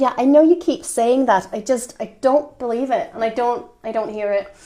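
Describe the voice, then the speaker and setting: Over noticeable background noise, a woman with a slight Irish accent and a high pitch talks at a moderate pace with ordinary pitch variation. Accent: slight Irish twang. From Denmark. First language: Danish. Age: 30s. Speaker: podcast co-host. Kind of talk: casual chat.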